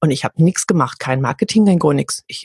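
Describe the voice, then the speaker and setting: A woman's very deep, low voice, somewhat breathy, at a very fast pace, with a dry, close sound and no echo. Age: 40s. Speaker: voice coach and singer. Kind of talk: interview conversation.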